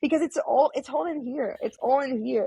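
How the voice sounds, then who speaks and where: A woman speaks at a fairly quick pace with very wide pitch swings. The sound is dry and close, with no echo. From France. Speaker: remote worker and traveler. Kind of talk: casual chat.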